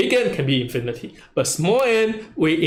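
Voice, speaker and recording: A man talks at a moderate pace with lively intonation. Audible room echo surrounds his voice. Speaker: university lecturer. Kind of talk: lecture. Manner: loud.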